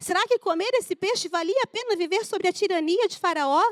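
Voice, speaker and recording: A woman's extremely high-pitched voice, dry and close with no echo. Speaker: preacher. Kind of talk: sermon.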